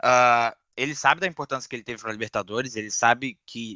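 A man speaks at a fairly quick pace in a bright, sharp tone. The sound is dry and close with no echo, over a quiet background. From Duque de Caxias, Rio de Janeiro. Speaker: podcast panelist, football fan. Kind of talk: casual football chat.

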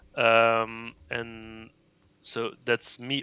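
A man speaks at a medium pitch with a Brussels accent. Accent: Belgian (Brussels) accent in English. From Brussels, Belgium. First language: Dutch and French (bilingual). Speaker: reuse initiative coordinator. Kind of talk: casual interview. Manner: hesitant, many fillers.

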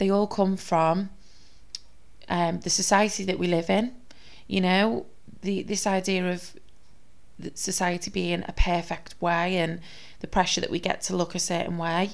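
Pausing long and often, a woman speaks at a fairly slow pace and medium pitch in a warm tone with monotone, flat intonation. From Liverpool, England. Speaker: podcast host. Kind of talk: solo monologue, personal talk. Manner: warm, conversational.

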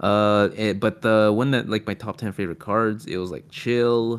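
A man speaks at a moderate pace with a fairly low pitch. His is a normal speaking voice. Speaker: podcast host and YouTuber. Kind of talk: casual chat. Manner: talkative, casual, profane.

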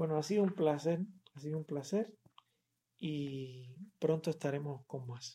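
A man with a fairly high pitch, a dark, mellow tone and a somewhat breathy voice speaks very slowly, with long, frequent pauses. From Cuba, Havana. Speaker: poet and poetry podcaster. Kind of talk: casual talk between poetry readings. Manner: halting, with many fillers and repetitions.

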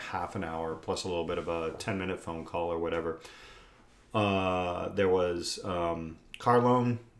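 Very deep and low, a man's voice carries an American accent and ordinary pitch variation. He speaks at a moderate pace with audible room echo. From Indiana. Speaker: podcast host, father of co-host. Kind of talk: casual chat.

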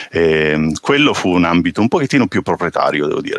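Speaking at a fairly quick pace, a man sounds dry and close with no echo, though noticeable background noise is present. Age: 40s. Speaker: open source software engineer. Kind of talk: casual chat. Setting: video call.

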